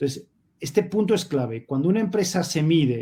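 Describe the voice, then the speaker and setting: At a fairly quick pace, a man talks in a dark, mellow tone that is somewhat breathy. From Spain. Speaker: sustainability advocate, panelist. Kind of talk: panel discussion.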